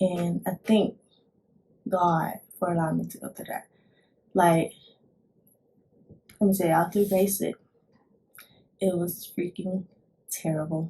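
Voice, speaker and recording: A woman speaks quietly and somewhat breathily at a fairly slow pace, with long, frequent pauses. Her intonation is monotone and flat, while her loudness swings widely. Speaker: vlogger, army recruit. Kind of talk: casual vlog talk. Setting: at home, son sleeping nearby. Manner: quiet, holding back volume; halting, many fillers and restarts.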